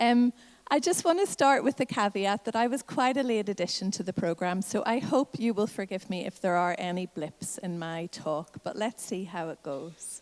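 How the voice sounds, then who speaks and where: In a Northern Irish accent, a woman at medium pitch speaks at a moderate pace with lively intonation. She leaves hardly any pauses, and the sound is dry and close with no echo. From Northern Ireland. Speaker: health advocacy campaigner. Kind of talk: conference talk.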